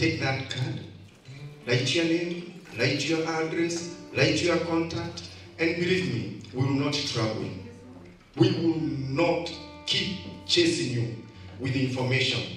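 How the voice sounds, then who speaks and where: A man talks at a very slow pace with long, frequent pauses and ordinary pitch variation. Faint music plays behind him, and the room echo is audible. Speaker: speaker. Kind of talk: motivational speech. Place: hall.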